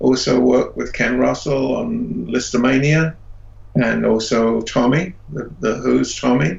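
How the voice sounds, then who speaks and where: With an English accent, a man talks at a fairly slow pace over noticeable background noise. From England. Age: 70s. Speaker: special effects artist. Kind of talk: interview. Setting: video call.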